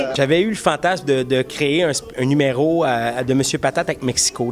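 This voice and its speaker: Moderate pace from a man with a fairly high pitch and ordinary pitch variation, against light background noise. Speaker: puppeteer. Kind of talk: interview answer. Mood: playful, joking. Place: stage. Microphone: handheld.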